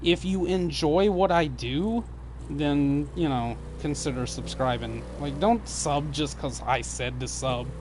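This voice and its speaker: A man talks with a slight Southern US accent, and audible room echo surrounds his voice. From US South. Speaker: gaming streamer. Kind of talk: casual live stream chat. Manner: stumbles and jumbles words.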